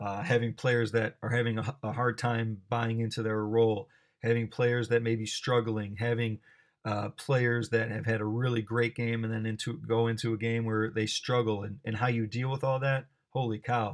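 A man with a Chicago accent speaks at a medium pitch and a moderate pace. His intonation is monotone and flat, and the background is quiet. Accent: Chicago American English. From US Midwest, Chicago. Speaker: basketball coach and athletic director. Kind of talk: presentation talk. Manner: hesitant fillers.

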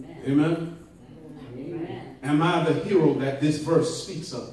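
A man talks with an animated tone at a fairly slow pace. Audible room echo surrounds his voice. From Jamaica. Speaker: preacher. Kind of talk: sermon. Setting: church. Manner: animated, call-and-response with congregation; rising preacher in full flow, rhythmic, emphatic, punctuated by amens. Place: church. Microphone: camera far.

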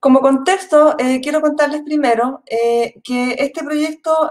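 The background stays quiet. This woman's pitch varies in an ordinary way. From Chile. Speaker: university researcher and project leader. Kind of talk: conference presentation. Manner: halting, many fillers. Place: home room. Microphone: webcam.

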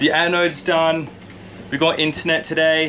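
The tone is bright and sharp. Pace is moderate, with little pitch movement. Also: man, fairly high pitch for a man.

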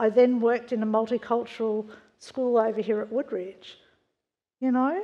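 With a dark, mellow tone and fairly even intonation, a woman speaks at a moderate pace. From Australia, western Sydney. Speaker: church member sharing testimony; preacher. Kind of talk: testimony. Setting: church. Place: church.

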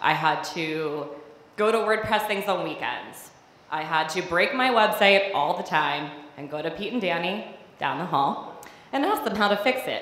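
Long pauses come often. Audible echo fills the room. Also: woman. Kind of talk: personal storytelling performance. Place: stage. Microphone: handheld.

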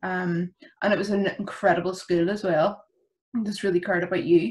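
At a fairly quick pace, a somewhat breathy woman speaks with fairly even intonation. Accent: Belfast. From Northern Ireland, West Belfast; Northern Ireland. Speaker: youth work alumna; podcast guest. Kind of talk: casual interview. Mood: warm, reflective, laughing. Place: home room. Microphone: video call.

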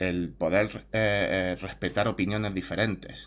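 Vocal fry runs through a man's fairly low voice, which has ordinary pitch variation. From Spain. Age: 30s. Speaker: YouTuber; vlogger. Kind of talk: opinion monologue; casual opinion vlog. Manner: halting. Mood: calm, reflective. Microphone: webcam.

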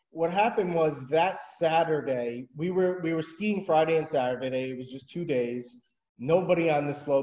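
With audible room echo but a quiet background, a man speaks with ordinary pitch variation. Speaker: remote interview guest. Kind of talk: interview answer. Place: home room. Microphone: video call.

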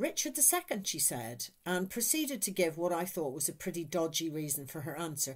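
Over a quiet background, a woman speaks at a moderate pace in a fairly low voice with very wide pitch swings. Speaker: church lay minister. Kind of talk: devotional talk. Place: home room. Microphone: webcam.

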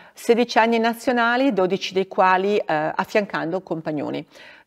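Nothing stirs in the quiet background. A woman's voice shows ordinary pitch variation. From northern Italy, Bergamo area; northern Italy. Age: 50s. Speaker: former ski racer and regional politician; regional politician. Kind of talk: interview. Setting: theatre. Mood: calm, warm, reflective. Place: stage.

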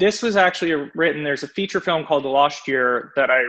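A man speaks with a bright, sharp tone. His pitch varies in an ordinary way, and the background is quiet. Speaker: guest. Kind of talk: interview answer. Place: home room. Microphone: video call.

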